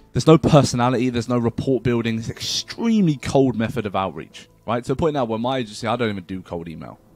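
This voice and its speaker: A man speaks at a very fast pace with ordinary pitch variation, in a dry sound with no echo, as faint music plays behind him. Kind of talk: tutorial. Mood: casual, blunt. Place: home room. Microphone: webcam.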